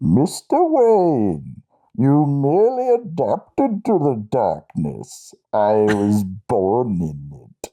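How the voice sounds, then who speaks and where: Very slowly, a put-on character voice speaks at a low-to-middle pitch. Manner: menacing.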